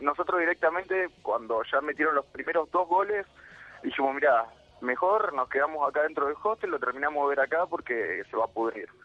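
A man with a Rioplatense accent speaks at a fairly high pitch. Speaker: football fan. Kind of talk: interview.

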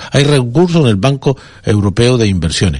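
A man's voice, somewhat breathy, rises and falls in very wide pitch swings. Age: 60s. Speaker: politician. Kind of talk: radio interview. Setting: studio.

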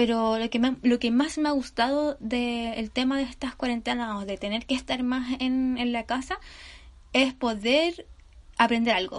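With a Chilean accent, a woman speaks at a high pitch in an animated tone. Her pace is fairly slow with ordinary pitch variation, against a quiet background. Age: 30s. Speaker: podcaster. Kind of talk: casual monologue.

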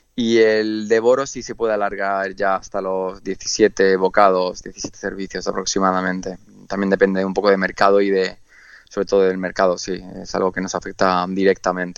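In a flat, monotone delivery, a man talks with a very deep, low pitch. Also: moderate pace. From Andalusia, Spain. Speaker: chef. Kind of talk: radio interview. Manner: hesitant, many fillers and repetitions.

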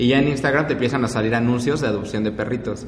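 A man with a Mexican accent at medium pitch, fairly quick and fairly even in intonation, with audible room echo and noticeable background noise. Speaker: podcast co-host. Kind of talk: casual chat.

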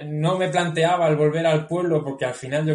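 The speaker is a man. His delivery is moderately paced. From Spain, Guadalajara province. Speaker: cycling route creator. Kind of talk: interview.

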